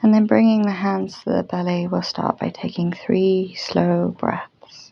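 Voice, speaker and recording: Soft-spoken and very slow, a woman talks at a medium pitch. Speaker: yoga teacher. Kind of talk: guided yoga class instruction. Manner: soft-spoken, slow, calming.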